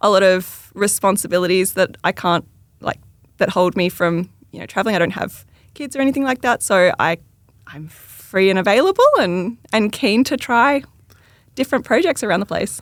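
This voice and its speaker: With an Australian accent, a woman speaks at medium pitch, her intonation lively and her loudness swinging widely. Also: moderate pace. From Tasmania, Australia. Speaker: electrical engineer. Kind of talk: podcast interview answer.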